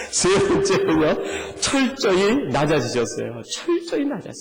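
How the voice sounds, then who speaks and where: A man speaking at a moderate pace, with noticeable background noise and audible room echo. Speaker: pastor. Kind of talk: sermon. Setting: church. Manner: animated, engaging congregation.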